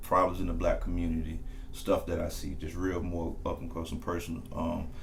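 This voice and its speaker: Room echo is audible as a man speaks at a fairly quick clip. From US South. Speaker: podcast host. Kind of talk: interview. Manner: casual.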